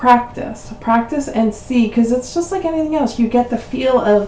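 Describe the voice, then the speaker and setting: Lively intonation from a woman at fairly high pitch, with noticeable background noise. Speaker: crafting channel host. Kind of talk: tutorial. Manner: hesitant, many fillers.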